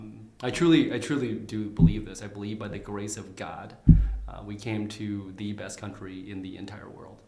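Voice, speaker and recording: An Upper Midwest accent at a moderate pace, with fairly even intonation and big swings in loudness. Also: man, fairly low pitch for a man. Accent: Upper Midwest American. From Minnesota (Saint Cloud), arrived from Vietnam as child. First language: Vietnamese. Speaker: candidate for county attorney. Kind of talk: interview. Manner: frequent fillers and repetitions.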